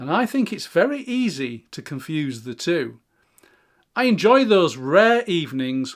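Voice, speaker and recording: A man with an English accent at a moderate pace, his pitch swinging very widely, on a very clean recording with a silent background. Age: 60s. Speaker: YouTuber. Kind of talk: reflective monologue. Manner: calm.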